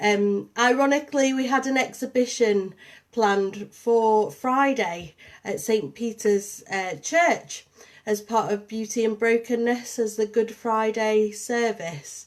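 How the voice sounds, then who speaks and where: Very slowly, a woman speaks at a fairly high pitch with ordinary pitch variation. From northern England, St Helens and Liverpool. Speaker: artist and arts programme coordinator. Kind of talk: live-streamed artist talk. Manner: hesitant, many fillers.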